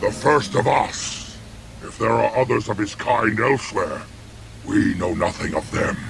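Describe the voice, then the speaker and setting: Putting on a character voice, a man talks at a moderate pace with long, frequent pauses over clear background noise. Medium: video game. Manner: menacing, bitter.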